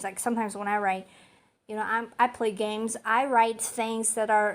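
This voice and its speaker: A woman with a non-native accent is heard on a very clean recording with a silent background. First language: not English. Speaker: amateur poet and channel host. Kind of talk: poetry reading and commentary. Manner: animated; halting.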